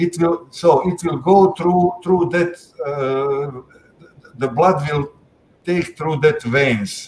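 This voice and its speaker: Somewhat breathy, the speaker talks with a non-native accent. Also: man. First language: not English. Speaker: panelist on digital securities regulation. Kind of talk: panel discussion. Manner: halting, many fillers.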